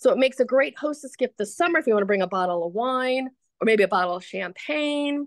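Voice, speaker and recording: With a high pitch and lively intonation, a woman talks at a very fast pace, the sound dry and close with no echo and the background quiet. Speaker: small business owner. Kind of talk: product demonstration.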